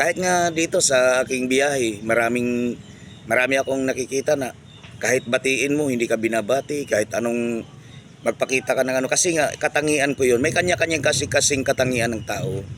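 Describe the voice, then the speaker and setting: A man talks fairly quickly at a medium pitch. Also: ordinary pitch variation. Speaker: vlogger. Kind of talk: casual monologue vlog. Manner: loud; halting with many fillers.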